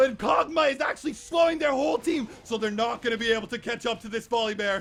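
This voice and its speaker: Someone shouts with lively intonation over noticeable background noise. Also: man. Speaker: gaming commentator. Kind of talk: comedic esports shoutcast. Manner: loud, excitable.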